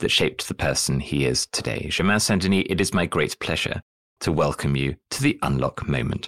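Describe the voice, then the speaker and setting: Talking at a fairly quick pace, a man shows vocal fry and ordinary pitch variation in a dry, close sound with no echo. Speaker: podcast host and coach. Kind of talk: interview conversation.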